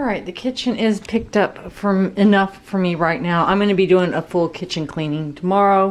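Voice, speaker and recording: A woman with an ordinary speaking voice talks at a moderate pace in a medium pitch. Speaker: lifestyle vlogger. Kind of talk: casual vlog narration.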